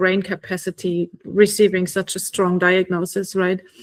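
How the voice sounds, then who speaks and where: Her pitch medium, a woman talks at a fairly slow pace. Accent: German. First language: German. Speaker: oncology nurse and podcast host. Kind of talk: casual interview conversation.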